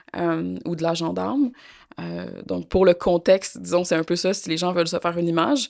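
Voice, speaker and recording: At a moderate pace, a woman talks. She speaks in a Quebec accent. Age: young. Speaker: interview guest, complainant. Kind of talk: interview testimony. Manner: hesitant, many fillers.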